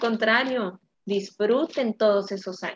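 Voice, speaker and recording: At a fairly slow pace, a woman talks in a fairly high pitch with an unremarkable speaking voice. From Mexico. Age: 20s. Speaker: podcast co-host. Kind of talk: casual chat.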